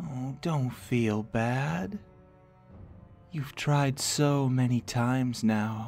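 Speaking very slowly in a put-on character voice at a medium pitch, a man leaves long, frequent pauses over faint background music. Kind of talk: ASMR roleplay. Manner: taunting.

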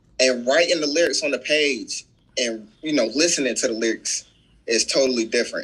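The speaker, a man, moves at a fairly quick pace. His pitch varies in an ordinary way. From US South. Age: 20s. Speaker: public relations manager; podcast guest. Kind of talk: casual interview. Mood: relaxed, smiling. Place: home room. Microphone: video call.

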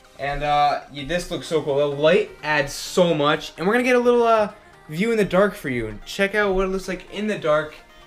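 A man talks while faint music plays behind him. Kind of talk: casual vlog chat. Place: kitchen. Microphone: phone near.

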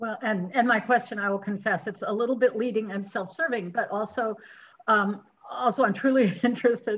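The voice is somewhat breathy, with a fairly quick pace and ordinary pitch variation. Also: woman. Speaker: local journalist; audience member. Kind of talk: audience question. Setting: video call. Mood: friendly, curious. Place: kitchen. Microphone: video call.

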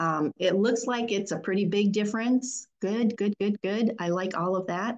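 Against a quiet background, a woman talks at a fairly slow pace with ordinary pitch variation. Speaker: statistics professor. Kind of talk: online workshop lecture. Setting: video call. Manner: hesitant, many fillers. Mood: warm, encouraging. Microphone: webcam.

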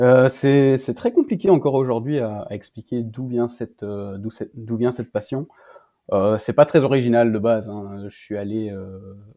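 His loudness takes big swings up and down. The man has a medium pitch and a dark, mellow tone. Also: ordinary pitch variation, fairly slow pace. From Belgium. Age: 20s. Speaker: author. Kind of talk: interview.

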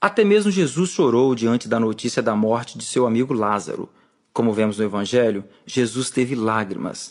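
Here a man speaks at a moderate pace with very even loudness and ordinary pitch variation. The background is quiet. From Brazil, rural Espírito Santo. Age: 40s. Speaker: author and musician narrating his own book; audiobook narrator. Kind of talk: audiobook reading.

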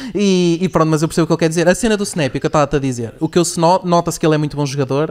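Hardly any pauses break up a man's very fast speech. His pitch varies in an ordinary way over a quiet background. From Portugal. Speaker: podcast host. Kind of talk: sales pitch; casual chat. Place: studio. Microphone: studio mic.

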